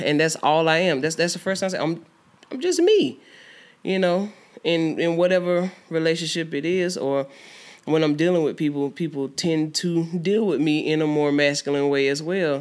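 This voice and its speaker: A woman with an American accent has a normal speaking voice, fairly low in pitch with fairly even intonation. She talks at a moderate pace in a very clean recording with a silent background. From US South, Georgia. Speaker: musician. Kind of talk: casual chat.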